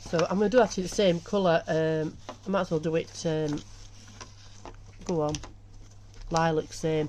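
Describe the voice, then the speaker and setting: A woman speaks with a Yorkshire accent at a moderate pace. Her fairly low voice has ordinary pitch variation. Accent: broad Yorkshire. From Yorkshire, northern England. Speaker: embroidery tutor. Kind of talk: tutorial. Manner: casual, chatty.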